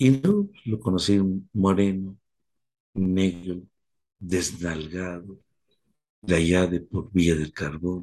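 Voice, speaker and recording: A man's very deep, low voice with a dark, mellow tone, very slow with long, frequent pauses and fairly even intonation. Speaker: recovery sponsor. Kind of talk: talk.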